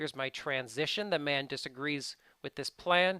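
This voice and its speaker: At a moderate pace, a man speaks with a fairly high pitch, a bright, sharp tone and ordinary pitch variation, in a dry, close sound with no echo. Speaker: English test prep teacher. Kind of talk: tutorial.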